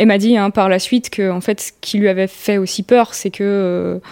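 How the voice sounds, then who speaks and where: A woman at medium pitch speaks in a monotone, flat intonation at a moderate pace. The sound is dry and close with no echo. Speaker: accident survivor. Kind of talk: testimony.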